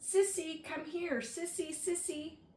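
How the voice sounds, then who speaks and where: In a squeaky, put-on character voice, a woman speaks at a fairly slow pace and an extremely high pitch. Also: ordinary pitch variation. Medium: read story.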